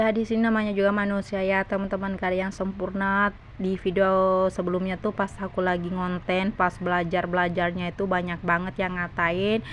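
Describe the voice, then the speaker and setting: The delivery is fairly quick, with hardly any pauses and very even loudness. Intonation stays monotone and flat. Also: woman, medium pitch for a woman. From South Sulawesi, Indonesia. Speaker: vlogger, housewife. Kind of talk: vlog voice-over. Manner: chatty, talkative; halting.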